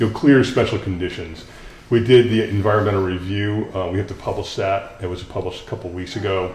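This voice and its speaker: Against noticeable background noise and audible room echo, a man talks fairly quickly with a fairly low pitch and fairly even intonation. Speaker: grant administrator. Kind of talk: presentation at a town board meeting. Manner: fast; halting, many fillers.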